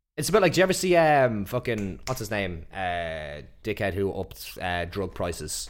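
A man with an Irish accent speaks at a moderate pace with hardly any pauses, his fairly low pitch making very wide swings. The recording is very clean, with a silent background. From Ireland. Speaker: podcast co-host. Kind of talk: casual chat.

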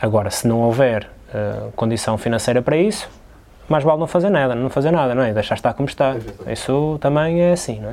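Lively intonation marks this man's medium-pitched voice, a plain, everyday voice. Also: fairly quick pace. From Portugal, São João da Madeira. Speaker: basketball player. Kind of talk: casual chat. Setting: sports hall.

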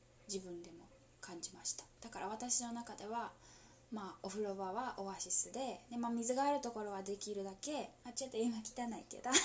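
A woman is whispering. She keeps a moderate pace. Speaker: solo podcaster. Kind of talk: whispered casual monologue. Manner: halting.

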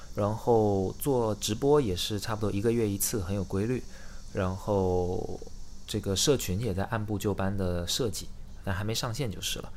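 A man's fairly low-pitched voice with fairly even intonation and audible room echo. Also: moderate pace. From China, Xiamen. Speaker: startup founder. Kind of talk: casual interview chat.

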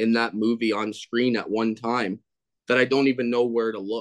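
An unremarkable speaking voice moves at a moderate pace. The sound is dry and close, with no echo. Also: man. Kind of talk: casual chat.

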